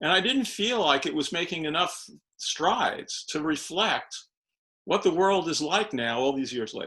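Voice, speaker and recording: A man's high-pitched voice with lively intonation and a bright, sharp tone in a very clean recording with a silent background. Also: moderate pace. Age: 70s. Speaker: educator and author. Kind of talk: podcast interview. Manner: halting, with frequent repetitions.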